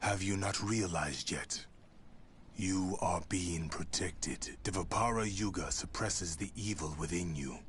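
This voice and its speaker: Putting on a character voice, a man speaks at a moderate pace with a very deep, low pitch and ordinary pitch variation, with clear background noise. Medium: video game. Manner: solemn, measured, cryptic.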